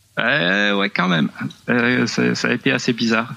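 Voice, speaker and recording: A man speaks over noticeable background noise. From southwest France. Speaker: new father. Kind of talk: remote interview. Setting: remote call.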